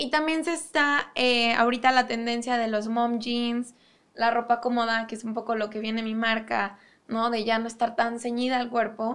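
Her fairly high voice stays monotone and flat as this woman speaks at a moderate pace on a very clean recording with a silent background. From Mexico, Cuautla (Morelos). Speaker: fashion designer. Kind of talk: interview.

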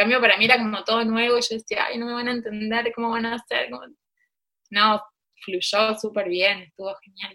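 A woman speaks at a fairly quick pace in a fairly high pitch, her tone bright and sharp. Her intonation is monotone and flat, while her loudness swings widely. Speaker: embroiderer and teacher. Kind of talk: interview.

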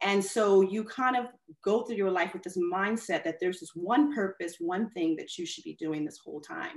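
A woman with a plain, everyday voice, medium in pitch with ordinary pitch variation, at a moderate pace, with big swings in loudness. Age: 40s. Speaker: artist and designer. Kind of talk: casual interview. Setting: video call.

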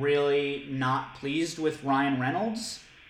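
A fairly high-pitched male voice with ordinary pitch variation, audible room echo and noticeable background noise. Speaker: podcast host. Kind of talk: casual chat.

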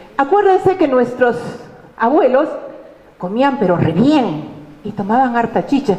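A woman speaks at a high pitch with very wide pitch swings. Audible room echo and noticeable background noise are present. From Peru, Arequipa. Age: 50s. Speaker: university lecturer and tourism businesswoman. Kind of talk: conference talk.

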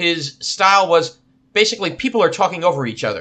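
Speaking at a moderate pace, a man with a New Jersey accent uses lively intonation. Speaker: podcast co-host. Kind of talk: casual chat.

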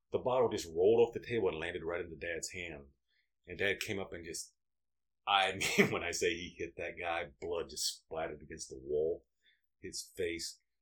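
Spoken at a moderate pace, the voice swings widely between loud and soft. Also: man. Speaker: father of the hosts, storyteller. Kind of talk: casual storytelling. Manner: joking, sarcastic.

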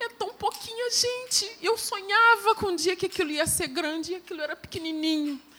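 The tone is bright and sharp, the voice raised and projected. There are hardly any pauses. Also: woman, extremely high pitch for a woman, lively intonation, moderate pace. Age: 50s. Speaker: lay church preacher. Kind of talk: sermon. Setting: church service with congregation.

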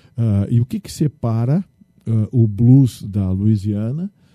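The recording is dry and close with no echo as a man speaks at medium pitch in a dark, mellow tone with ordinary pitch variation. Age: 60s. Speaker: state legislator, lawyer and radio journalist. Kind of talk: interview.

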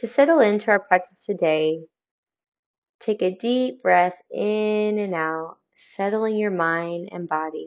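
Using a normal speaking voice, a woman talks fairly slowly at a medium pitch, with ordinary pitch variation. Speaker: meditation guide. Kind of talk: guided meditation. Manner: calm, slow, soothing; gentle, inviting.

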